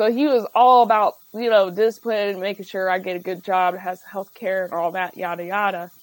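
A woman with a plain, everyday voice at medium pitch speaks at a moderate pace with fairly even intonation and hardly any pauses. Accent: American. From Ohio, Dayton. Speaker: comedian. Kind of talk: casual chat. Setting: studio.

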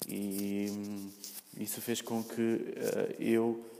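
Speaking at medium pitch with a dark, mellow tone, a man has a European Portuguese accent. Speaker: podcaster. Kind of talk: solo monologue. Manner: halting, many fillers and repetitions.

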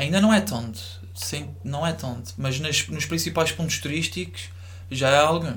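Very wide pitch swings from a man of medium pitch, with audible room echo and noticeable background noise. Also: moderate pace. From Azores, São Miguel island (north coast). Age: 20s. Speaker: university student. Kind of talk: casual chat.

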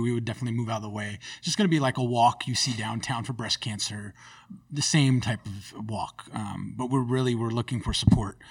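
Over a silent background in a very clean recording, a man with an American accent speaks at a fairly quick pace in a somewhat breathy voice. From US West Coast, Sacramento area (California). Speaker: cashier and community group founder. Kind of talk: casual interview conversation.

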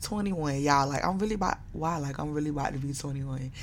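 Very fast and very deep and low, a woman's voice carries ordinary pitch variation and audible room echo. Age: 20s. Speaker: podcast host. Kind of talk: casual monologue. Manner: animated.

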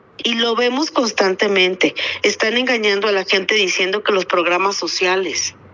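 A woman's medium-pitched voice at a moderate pace, with ordinary pitch variation, very even loudness, and noticeable background noise. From Torreón, Coahuila, northern Mexico. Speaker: civic activist leader. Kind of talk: radio interview.

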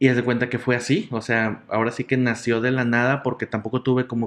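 Here is a normal speaking voice at a fairly quick pace. The intonation stays fairly even. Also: man. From Mexico, Nuevo León (Monterrey area). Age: 30s. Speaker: comedian and entertainer. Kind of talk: casual interview chat.

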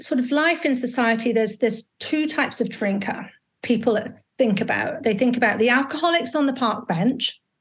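A woman's high voice in a British accent, at a moderate pace with ordinary pitch variation. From UK. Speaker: alcohol coach. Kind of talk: interview. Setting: video call.

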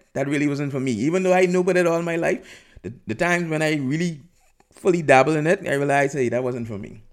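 A man's animated tone, with very wide pitch swings. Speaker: podcast host. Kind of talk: angry rant, comedic and opinionated monologue. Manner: animated, digressive, rambling with frequent fillers; fired up, emphatic and salty in tone.

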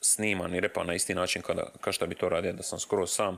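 A man talks at a very fast pace in a very clean recording with a silent background. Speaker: rapper and podcast host. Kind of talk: casual chat. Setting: home studio. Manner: rambling, fast-talking.

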